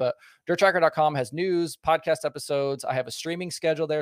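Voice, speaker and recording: The speaker talks in an American accent. Intonation stays fairly even, and the sound is dry and close with no echo. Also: man. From Southern Oregon, US. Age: 30s. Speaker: former pit crew member, racing content creator. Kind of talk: casual chat.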